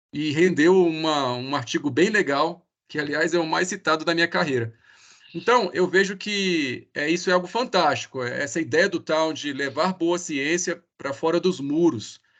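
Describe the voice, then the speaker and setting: A man's high voice at a moderate pace, with ordinary pitch variation and a quiet background. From Brazil. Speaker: researcher. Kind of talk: speaker introduction.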